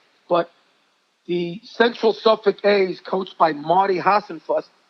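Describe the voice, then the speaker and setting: His pitch sits high for a man. He talks with an American accent. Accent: Brooklyn Italian New York. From New York City. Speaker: high school basketball coach. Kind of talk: interview storytelling. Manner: animated.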